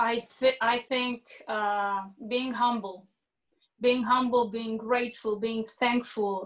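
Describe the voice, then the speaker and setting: A woman speaks very slowly in a fairly high voice. Her intonation is monotone and flat against a quiet background. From northern Israel. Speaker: singer-songwriter; panelist. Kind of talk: panel discussion. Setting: video call. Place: home room. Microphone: video call.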